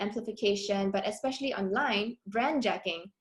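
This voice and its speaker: Fairly quick speech from a woman, with ordinary variation in pitch. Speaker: academic researcher. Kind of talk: conference presentation. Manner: fast.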